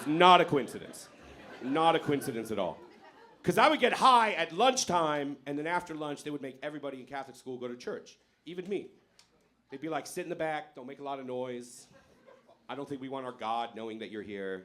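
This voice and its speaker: Here a man has a normal speaking voice, with a fairly high pitch, lively intonation and big swings in loudness. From born in Iran, grew up in America from age eight. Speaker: stand-up comedian. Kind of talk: stand-up. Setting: stage with audience.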